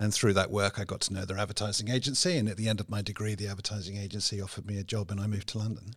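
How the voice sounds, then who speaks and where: Barely pausing, a man rushes along at a very fast pace in a flat monotone, his fairly low voice somewhat breathy. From England, Cotswolds. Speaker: business executive. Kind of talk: interview.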